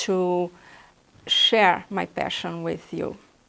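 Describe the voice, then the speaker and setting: In a Brazilian Portuguese accent, a woman at medium pitch speaks very slowly on a very clean recording with a silent background. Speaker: artist and art instructor. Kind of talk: tutorial. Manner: halting.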